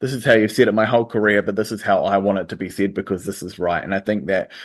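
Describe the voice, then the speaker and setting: Against a quiet background, a man speaks with a New Zealand accent and fairly even intonation. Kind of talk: interview.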